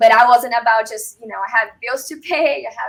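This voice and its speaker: Speaking at a fairly quick pace, a woman talks with a Brazilian Portuguese accent. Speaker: real estate agent and military veteran. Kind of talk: interview.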